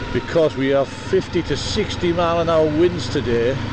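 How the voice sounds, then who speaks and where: At a moderate pace, the voice sounds dry with no echo while loud background noise plays. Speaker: motorbike commuter vlogger. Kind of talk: casual vlog chat. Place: motorbike. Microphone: helmet.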